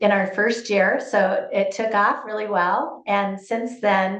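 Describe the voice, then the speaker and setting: Amid noticeable background noise and audible room echo, a woman of medium pitch speaks fairly slowly in a flat monotone. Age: 60s. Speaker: real estate agent. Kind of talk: interview.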